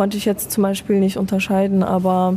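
A woman's dark, mellow tone in monotone, flat intonation. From Germany (Afghan family, born in Iran). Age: young. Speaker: student. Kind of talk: casual chat. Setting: café in front of a cinema.

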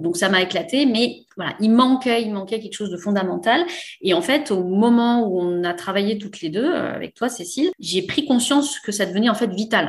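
Moderate pace from a woman with a somewhat breathy voice. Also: fairly high pitch for a woman, lively intonation. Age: 40s. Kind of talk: casual interview. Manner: hesitant, many fillers.

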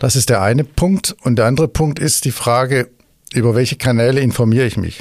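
A man talks at a medium pitch and a fairly quick pace. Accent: Swabian. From Swabia, Stuttgart. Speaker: tourism executive. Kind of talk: interview.

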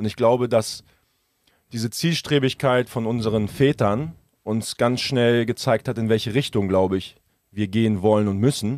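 A plain, everyday voice from a man of medium pitch at a moderate pace, in a dry, close sound with no echo. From Germany, Hamburg. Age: 30s. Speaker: entrepreneur and car enthusiast. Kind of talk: casual chat.

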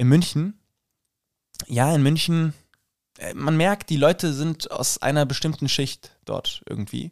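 With a fairly high pitch, ordinary pitch variation and long, frequent pauses, a man talks at a very slow pace in a very clean, dry, close recording with no echo and a silent background. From Hesse, Rüsselsheim. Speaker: drama student and actor. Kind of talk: casual chat.

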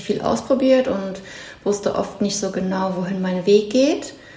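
A woman with a medium-pitched voice is heard with audible room echo and noticeable background noise. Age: 30s. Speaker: former social media influencer. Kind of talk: casual chat. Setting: at home in a kitchen.

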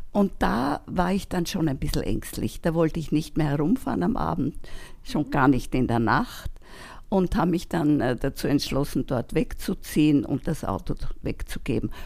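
A woman speaks with vocal fry at a very deep, low pitch. Her pitch swings very widely at a moderate pace. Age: 80s+. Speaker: volunteer helper, retiree. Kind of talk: interview conversation. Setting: at her home.

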